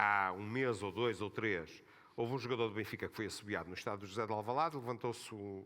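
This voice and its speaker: A man with a Porto accent and a bright, sharp tone, at a fairly quick pace. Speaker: football club spokesman. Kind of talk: panel discussion.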